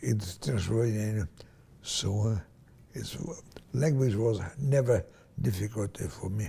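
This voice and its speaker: Somewhat breathy and dark, mellow in tone, a man speaks at a very slow pace with long, frequent pauses. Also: fairly low pitch for a man, ordinary pitch variation. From Hungary/Romania (Transylvania). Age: 90s. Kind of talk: interview answer, recounting life story. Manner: slow, halting.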